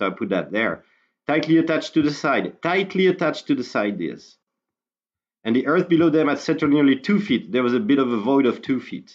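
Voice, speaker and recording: This man talks at a fairly quick pace with lively intonation and vocal fry. The background is quiet. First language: French. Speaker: independent researcher, YouTuber. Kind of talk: casual explanatory video talk. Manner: halting, with fillers.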